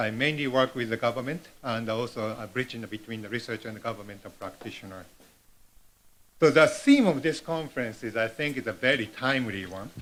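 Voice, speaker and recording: The speaker has a non-native accent and talks at a fairly quick pace. Loudness swings widely, while pitch variation is ordinary. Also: man, medium pitch for a man. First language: Japanese. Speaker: professor, keynote speaker. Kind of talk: conference keynote read from script. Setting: conference hall with large audience. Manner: halting, many fillers.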